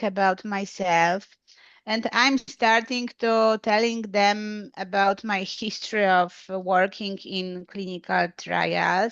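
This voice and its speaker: A woman with a Polish accent, dry and close with no echo, against a quiet background. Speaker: English learner, clinical trials worker. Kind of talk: language lesson. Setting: video call. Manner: halting.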